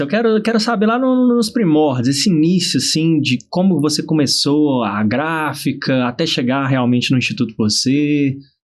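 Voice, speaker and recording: A man with a fairly high pitch talks at a moderate pace. His pitch swings very widely, and the background is quiet. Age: 30s. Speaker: podcast host. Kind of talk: casual interview chat.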